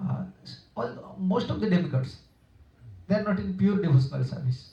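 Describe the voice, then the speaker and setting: A man with an Odia accent speaks at a moderate pace with a fairly high pitch and vocal fry. His tone is dark and mellow, and his pitch swings very widely. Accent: Indian (Odia). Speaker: monk / spiritual teacher. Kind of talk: religious discourse. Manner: halting, with self-corrections.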